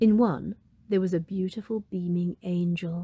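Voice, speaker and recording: A woman speaks at a fairly slow pace, her medium-pitched voice somewhat breathy, with a gentle, warm tone and a dark, mellow tone, in a dry, close sound with no echo. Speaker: storybook narrator. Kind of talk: fairy-tale narration, storybook reading aloud. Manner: gentle, warm and animated, with a storyteller's lilt; clear, unhurried pacing, voicing Molly, mum, dad and fairy.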